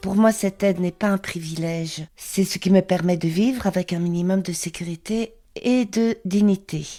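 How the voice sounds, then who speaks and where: The voice has a dark, mellow tone and fairly even intonation at a moderate pace. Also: woman, medium pitch for a woman. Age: 60s. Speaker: market trader. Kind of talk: testimony.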